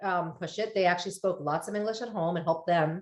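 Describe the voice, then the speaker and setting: A woman with an American accent, an ordinary speaking voice, ordinary pitch variation and a fairly quick pace. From Delaware, US (Wilmington suburb). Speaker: therapist and podcaster. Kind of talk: casual interview chat.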